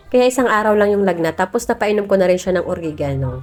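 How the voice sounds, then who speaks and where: Very fast speech with very wide pitch swings over music in the background. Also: woman. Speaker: vlogger, mother. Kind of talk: vlog voice-over narration. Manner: casual, chatty.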